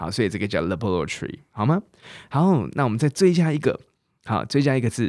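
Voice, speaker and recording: In a very clean recording with a silent background, a man speaks at a fairly quick pace in an animated tone, his pitch swinging very widely with vocal fry. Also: medium pitch for a man. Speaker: English teacher and podcast host. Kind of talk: language lesson podcast.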